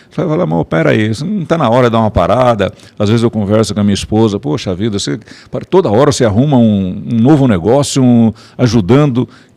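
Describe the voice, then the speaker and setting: At a very fast pace, a man speaks with lively intonation. His medium-pitched voice has a dark, mellow tone. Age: 70s. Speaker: business owner and industry association director. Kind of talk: podcast interview. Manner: halting, with repetitions.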